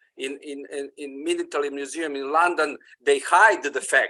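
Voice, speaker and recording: A man is talking. He has a non-native accent. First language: not English. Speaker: audience member commenting. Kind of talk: Q&A comment. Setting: video call. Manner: halting, many fillers.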